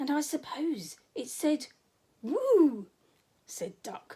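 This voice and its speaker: In a put-on character voice, a woman speaks at a very slow pace and a high pitch. Her pitch swings very widely. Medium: read story. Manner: grumbling.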